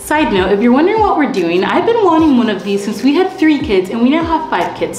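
A woman talks at a very fast pace, with audible room echo and clear music in the background. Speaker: family vlogger. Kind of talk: casual vlog chat. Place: home room. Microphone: camera far.

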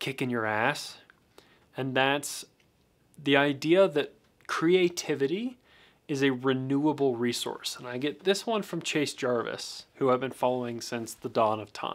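At a moderate pace, a man speaks with ordinary pitch variation over a quiet background. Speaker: photography youtuber. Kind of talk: casual talk-to-camera commentary. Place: studio.

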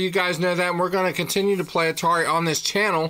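A man's raised, projected voice, high-pitched with a bright, sharp tone, at a fairly quick pace. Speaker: retro gaming YouTuber. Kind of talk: gameplay commentary. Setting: recording alone. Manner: casual, halting with fillers. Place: home room.

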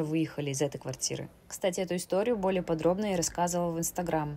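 Speaking at a fairly quick pace with fairly even intonation, a woman has a fairly low pitch and a normal speaking voice. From Siberia, Russia. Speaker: travel and knitting vlogger. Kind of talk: travel vlog narration.

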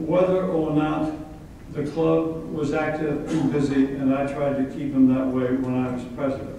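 Strong room echo and light background noise surround a man whose intonation stays fairly even. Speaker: guest. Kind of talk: after-lunch speech. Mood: humorous, reminiscing. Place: hall.

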